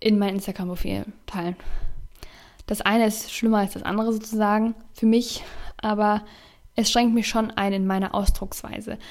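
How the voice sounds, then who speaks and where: A woman at a fairly high pitch, moderate pace, on a very clean recording with a silent background. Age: 20s. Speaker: youtuber and podcaster. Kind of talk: casual solo podcast monologue.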